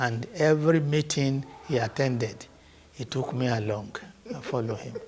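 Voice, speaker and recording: With a Nigerian accent, a man talks at a moderate pace in a medium pitch, using ordinary pitch variation. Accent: Nigerian (Yoruba) English. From Nigeria, Ogun State. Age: 80s+. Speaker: traditional ruler. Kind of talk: interview answer.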